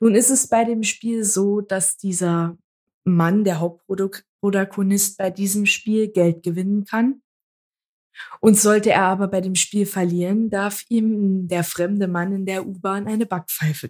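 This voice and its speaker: A woman has an ordinary speaking voice at a medium pitch. She talks at a fairly slow pace with fairly even intonation. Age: 20s. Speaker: podcast co-host. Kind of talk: casual chat.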